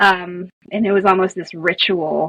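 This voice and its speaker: A woman's fairly low, monotone voice with flat intonation and vocal fry, in a dry, close sound with no echo. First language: Spanish. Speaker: storyteller and author. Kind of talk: podcast interview.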